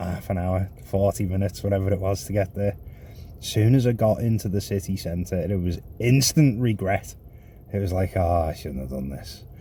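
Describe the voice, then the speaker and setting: A man speaks at a moderate pace in a very deep, low pitch with ordinary pitch variation. His tone is dark and mellow, and somewhat breathy. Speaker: rideshare driver vlogger. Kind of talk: casual vlog chat. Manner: animated storytelling.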